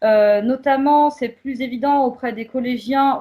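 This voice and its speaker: At a fairly slow pace, a woman talks with an ordinary speaking voice and ordinary pitch variation. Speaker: community association worker. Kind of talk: prepared presentation.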